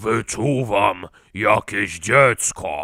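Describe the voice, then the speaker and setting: A man's put-on character voice, fairly low, raspy and hissing. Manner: hissing, menacing.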